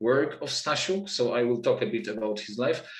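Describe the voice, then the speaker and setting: A man speaks with a Polish accent. The background is quiet, though room echo is audible. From Poland. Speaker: literature researcher and lecturer. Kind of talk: lecture. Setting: video call. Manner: halting. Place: home room. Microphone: webcam.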